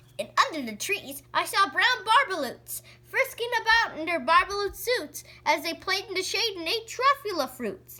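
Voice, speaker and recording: A woman's nasal, extremely high-pitched put-on character voice with very wide pitch swings at a moderate pace. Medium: read story. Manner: pushy, salesman-like.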